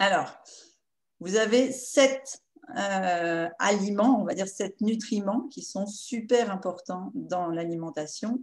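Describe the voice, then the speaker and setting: A woman's medium pitch with ordinary pitch variation at a very slow pace. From northern France, Picardy (Amiens). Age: 50s. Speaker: nutritionist and naturopath. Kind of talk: nutrition workshop talk. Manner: hesitant, many filler sounds.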